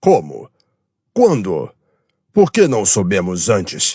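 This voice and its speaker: Using a raspy, put-on character voice at a medium pitch, a man talks at a fairly slow pace. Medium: read story. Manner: doubtful, low-voiced.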